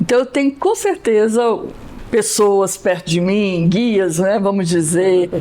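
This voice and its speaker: Over noticeable background noise, a woman speaks at a fairly high pitch and a very slow pace. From Brasília, Brazil. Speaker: Portuguese teacher. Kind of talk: interview.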